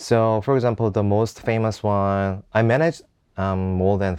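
A man speaks at a moderate pace with a Korean accent and a fairly low pitch. His pitch varies in an ordinary way against a quiet background. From South Korea, Seoul. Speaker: entrepreneur. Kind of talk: casual interview.

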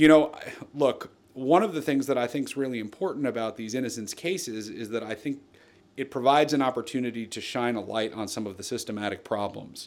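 This man has an unremarkable speaking voice at medium pitch, with an American accent. He speaks at a fairly quick pace. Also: ordinary pitch variation. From New Jersey. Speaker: lawyer. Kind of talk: interview.

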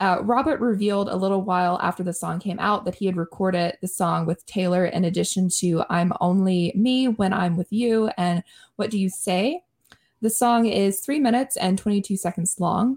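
Heard on a very clean recording against a silent background, a woman speaks at a medium pitch, somewhat breathy, her loudness very even. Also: ordinary pitch variation, moderate pace. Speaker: podcast host. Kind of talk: casual chat.

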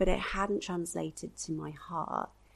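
This is a woman speaking. She talks with a southern English accent. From England, Devon (Torquay). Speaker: mother working in fashion e-commerce. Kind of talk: testimony.

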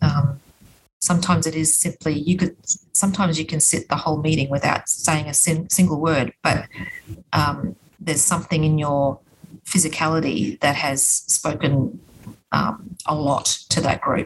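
A woman with an Australian accent, very deep and low in pitch, at a moderate pace with ordinary pitch variation. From Queensland, Australia (Logan). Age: 50s. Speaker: politician. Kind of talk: interview. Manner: hesitant, many fillers.

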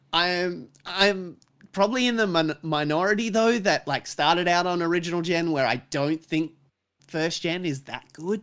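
In an Australian accent, a man with a high pitch talks at a moderate pace, his tone animated, bright and sharp, on a very clean recording with a silent background. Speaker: podcast guest. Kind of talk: casual chat.

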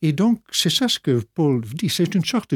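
A man's high voice at a moderate pace, very wide pitch swings, dry and close with no echo, in a very clean recording over a silent background. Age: 60s. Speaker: pastor and organist. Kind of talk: radio interview.

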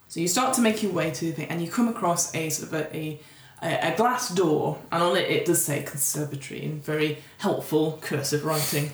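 Over noticeable background noise, a woman talks at a fairly quick pace. Her pitch is fairly low. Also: ordinary pitch variation. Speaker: podcast host and game master. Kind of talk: horror tabletop narration, scene-setting description read as a game master. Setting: tabletop game session recorded for podcast. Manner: descriptive and vivid, storytelling pace.

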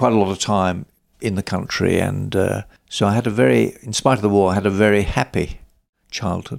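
A man with a southern English accent and a fairly low voice, at a fairly quick pace, on a very clean recording with a silent background. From South London, England. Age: 80s+. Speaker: veterinary business consultant. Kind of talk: interview. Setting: at home, garden.

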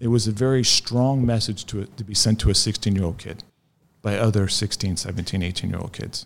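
With an ordinary speaking voice, a man talks fairly quickly at a fairly low pitch, keeping his intonation fairly even. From US South, north central Florida. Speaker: former skinhead recounting his story. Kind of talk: interview testimony. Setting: in person at guest's home city.

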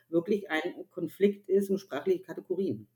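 Her tone is dark and mellow. This woman talks at a moderate pace. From Germany, Upper Franconia (Bavaria). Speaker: author and gender consultant. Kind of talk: interview conversation. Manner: hesitant with many fillers.

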